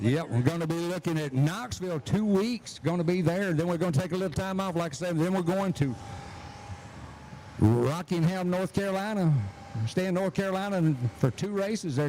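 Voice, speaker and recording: A man with a Southern US accent, high pitch, ordinary pitch variation and a fairly quick pace, amid noticeable background noise. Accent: Southern US (Georgia). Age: 70s. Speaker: drag race announcer. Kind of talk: live event announcing.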